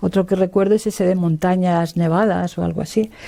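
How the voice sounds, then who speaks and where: Fairly even intonation and a moderate pace from a woman with a medium pitch. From Spain, Hellín (Albacete, Castilla-La Mancha). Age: 60s. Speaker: retired labour lawyer and feminist activist. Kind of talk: oral history interview. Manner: hesitant, many fillers.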